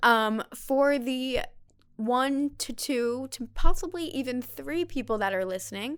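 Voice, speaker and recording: A high-pitched woman's voice with lively intonation at a fairly slow pace. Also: very clean recording, silent background. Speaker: podcast host. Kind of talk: casual chat.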